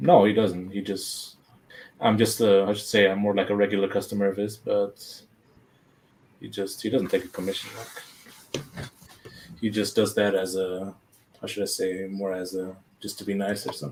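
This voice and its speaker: The speaker goes at a moderate pace with monotone, flat intonation and long, frequent pauses. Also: man, fairly low pitch for a man. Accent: German. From Germany. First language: German. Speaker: collector and unboxing video host. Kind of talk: casual live-stream chat. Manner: halting, many fillers.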